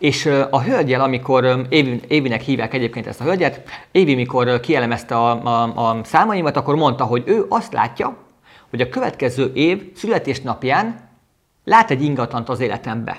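Speaking at a medium pitch, a man keeps a moderate pace and varies his pitch in an ordinary way. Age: 30s. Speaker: business coach podcaster. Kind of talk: motivational monologue. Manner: halting.

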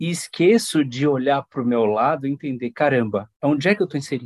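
In a normal speaking voice, the speaker moves at a fairly quick pace with lively intonation, and the sound is dry and close with no echo. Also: man, quiet background. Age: 40s. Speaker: human resources professional. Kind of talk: interview.

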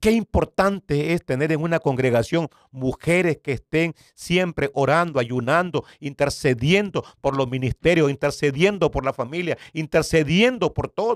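A man with a normal speaking voice talks at a fairly high pitch and fairly slow pace with ordinary pitch variation and hardly any pauses, in a very clean, dry, close recording with no echo and a silent background. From Nicaragua. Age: 60s. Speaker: pastor. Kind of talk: testimony.

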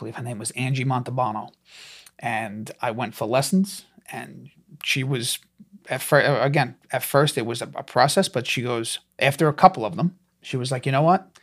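With a strong New York accent, a man speaks in a medium pitch. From Staten Island, New York. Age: 30s. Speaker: stand-up comedian. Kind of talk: casual interview chat.

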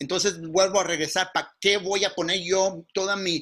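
High-pitched male speech with fairly even intonation. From California, Mountain View (Mexican family). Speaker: workshop instructor, business consultant. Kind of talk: online workshop lecture. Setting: video call.

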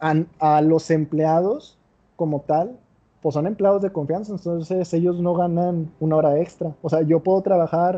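In a Mexican accent, a man with fairly high pitch speaks at a moderate pace with fairly even intonation. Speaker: podcast host. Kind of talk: casual chat.

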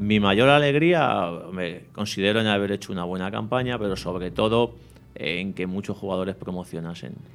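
Here is an unremarkable speaking voice from a man at a fairly low pitch. He talks at a moderate pace with lively intonation. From Spain, Madrid area (Leganés). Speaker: youth football coach. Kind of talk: interview.

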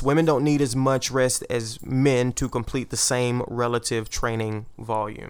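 A man's normal speaking voice at medium pitch, moderate pace, fairly even intonation and hardly any pauses. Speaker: podcast host. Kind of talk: casual banter then research explainer.

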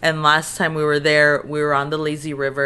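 A woman with an American accent speaks at a moderate pace with a bright, sharp tone. Her pitch is very deep and low. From Texas, border region. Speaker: comedian. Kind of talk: casual chat.

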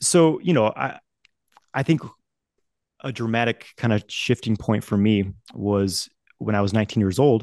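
With an American accent, a man speaks at a fairly slow pace in a medium pitch with ordinary pitch variation and long, frequent pauses, the sound dry and close with no echo over a quiet background. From Idaho, US. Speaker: men's coach, teacher of energy practices. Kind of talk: interview conversation.

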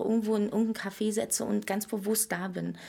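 Somewhat breathy and fairly high, a woman's voice carries a dark, mellow tone. She talks at a moderate pace. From Berlin, former East Germany. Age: 40s. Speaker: entrepreneur running daycare centres. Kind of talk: casual interview chat.

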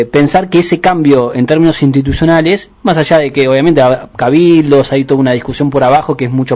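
His voice is fairly high in pitch. The pitch varies in an ordinary way. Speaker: radio host. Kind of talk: interview. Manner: halting.

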